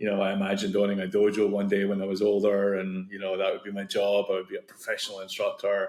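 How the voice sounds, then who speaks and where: A man speaks in a flat monotone with a Scottish accent, his pitch sitting fairly low. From Scotland. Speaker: tech founder, martial arts coach. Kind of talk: podcast interview.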